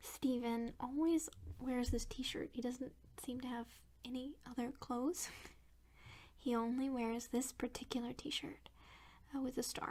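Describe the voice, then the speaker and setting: At a fairly slow pace, the speaker talks in a soft-spoken way. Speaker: ASMR creator. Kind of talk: ASMR unboxing.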